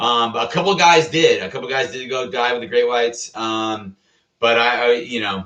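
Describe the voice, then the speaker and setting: Someone with a Californian accent talks at a moderate pace with ordinary pitch variation. The tone is bright, sharp and animated. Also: man, medium pitch for a man. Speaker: Coast Guard veteran. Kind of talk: casual storytelling vlog.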